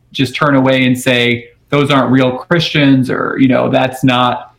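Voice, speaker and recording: With an American accent, a man with an ordinary speaking voice talks at medium pitch and a moderate pace. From Houston, Texas. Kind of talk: radio interview. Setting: remote call.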